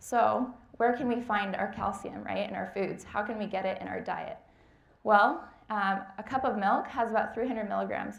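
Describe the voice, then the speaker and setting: Audible room echo surrounds a woman speaking at a moderate pace with medium pitch. Her voice carries vocal fry and fairly even intonation. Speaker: dietetic intern. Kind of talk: lecture.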